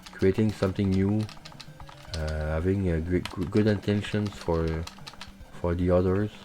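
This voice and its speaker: With a Quebec accent, a man speaks at a moderate pace in a very deep, low voice with fairly even intonation, over noticeable background noise. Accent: French Canadian accent in English. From Quebec, Canada. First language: French. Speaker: gaming streamer. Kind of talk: live gameplay commentary. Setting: live stream. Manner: halting, many fillers.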